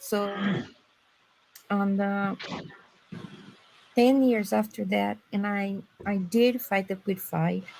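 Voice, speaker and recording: In a strong Brazilian accent, a woman speaks very slowly at a medium pitch. Her voice is somewhat breathy, with a dark, mellow tone. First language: Portuguese. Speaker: former medical interpreter. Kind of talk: personal testimony in a live stream chat. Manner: sometimes halting, searching for words.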